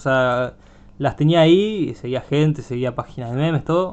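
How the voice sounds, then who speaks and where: With a normal speaking voice, a man talks at a fairly high pitch with ordinary pitch variation. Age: 20s. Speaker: podcast host. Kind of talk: casual chat.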